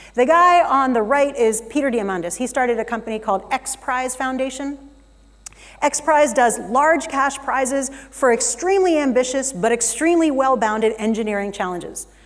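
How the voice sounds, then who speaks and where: A woman with an American accent speaks in a high pitch and an animated tone. Her pitch varies in an ordinary way, and room echo is audible. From United States. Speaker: keynote speaker. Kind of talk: conference keynote talk. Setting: stage in a theater with audience. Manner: fast.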